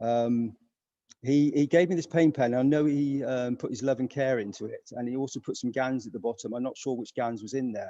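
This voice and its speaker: A man speaks with a British accent in a dark, mellow tone. His pace is fairly quick. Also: dry, close sound with no echo. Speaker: interviewer. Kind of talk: casual interview. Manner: hushed, keeping voice down; halting, many fillers.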